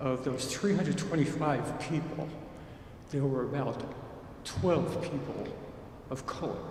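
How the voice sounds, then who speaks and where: Over noticeable background noise and audible room echo, a man with an American accent talks. His pitch is fairly high and his pace very slow. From New York, Harlem. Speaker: parishioner. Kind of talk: audience question.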